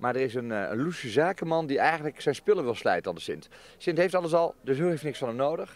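A man speaks at a very fast pace, the sound dry with no echo. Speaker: interviewee. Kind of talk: interview answer. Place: garden. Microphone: handheld.

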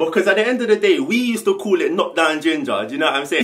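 In a London accent, a man speaks in an animated tone with very wide pitch swings. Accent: London multicultural English. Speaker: YouTuber. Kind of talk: casual vlog monologue. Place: home room. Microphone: camera far.

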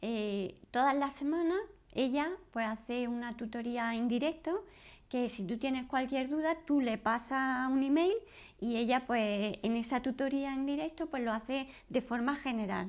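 A woman's high voice at a fairly slow pace with ordinary pitch variation. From Spain, Granada (Andalusia); Andalusia, Spain. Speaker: course student, homemaker. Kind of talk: testimonial interview. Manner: halting. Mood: friendly, upbeat. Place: home room.

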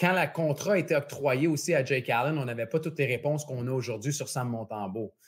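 The voice is somewhat breathy. It moves at a fairly quick pace with hardly any pauses. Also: man, fairly high pitch for a man, ordinary pitch variation. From Quebec. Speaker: sports betting podcast host. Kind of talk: casual chat. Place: home room. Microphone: earbuds.

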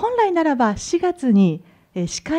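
The background stays quiet. Her tone, a woman's, is dark and mellow. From Japan. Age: 30s. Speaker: dental hygienist; conference lecturer. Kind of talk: lecture. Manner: formal.

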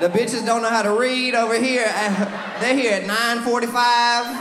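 A man talks fairly slowly at an extremely high pitch, with fairly even intonation. Audible room echo, clear background noise and clear crowd noise sit behind him.

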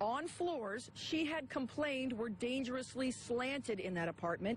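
Lively intonation comes through a dry sound with no echo and light background noise. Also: woman. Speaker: TV news reporter. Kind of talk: live TV news report.

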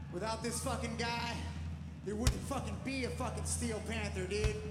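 A man speaks over loud music in the background. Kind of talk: stage banter to audience. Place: stage. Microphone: handheld.

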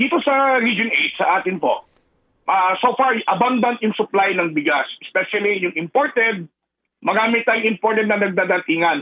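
A man speaks at a moderate pace in a high voice. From Philippines, Eastern Visayas. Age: 50s. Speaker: rice retailers' association leader. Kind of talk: radio phone interview.

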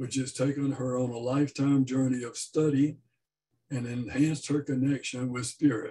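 This man's dark, mellow voice is somewhat breathy and delivered in a flat monotone. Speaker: service host introducing speaker. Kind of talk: formal introduction. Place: home room. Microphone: webcam.

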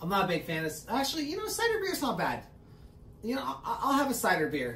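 The speech moves at a fairly quick pace over light background noise, with audible room echo. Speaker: podcast host. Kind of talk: casual podcast chat. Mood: relaxed, joking. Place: garden.

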